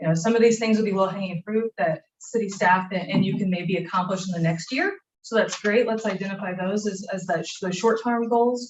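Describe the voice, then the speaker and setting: A woman with a medium pitch and ordinary pitch variation talks at a fairly quick pace. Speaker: planning facilitator. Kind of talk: workshop facilitation. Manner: loud.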